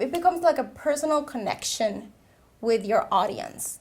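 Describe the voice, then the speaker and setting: With a Peruvian accent, a woman speaks at a moderate pace in a high voice with lively intonation. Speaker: social media consultant, veteran. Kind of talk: interview.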